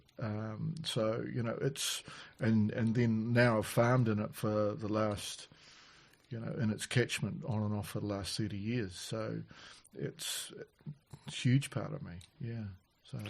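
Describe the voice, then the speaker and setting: A man's medium-pitched voice with a New Zealand accent, fairly slow pace, ordinary pitch variation, and long, frequent pauses. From New Zealand, Canterbury. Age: 60s. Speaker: farmer. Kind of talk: casual chat. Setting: on farm.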